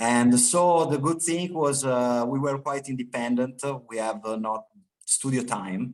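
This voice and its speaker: This man has an Italian accent and a medium pitch. He speaks at a fairly slow pace with ordinary pitch variation. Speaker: rock band guitarist. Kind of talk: interview. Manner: halting, many fillers and repetitions.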